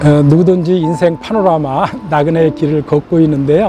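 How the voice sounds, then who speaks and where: Against noticeable background noise, a man speaks at a very slow pace. His pitch is fairly high, with ordinary variation. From rural South Korea. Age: 60s. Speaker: church elder. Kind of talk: interview. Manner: hesitant with filler sounds.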